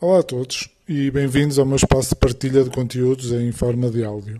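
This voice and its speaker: In a northern Portuguese accent, a man talks at a fairly slow pace with a somewhat breathy, dark, mellow tone and monotone, flat intonation. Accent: northern Portuguese (Porto), b for v. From Portugal, Porto. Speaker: personal trainer, podcaster. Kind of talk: podcast monologue. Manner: hesitant, many fillers and repetitions.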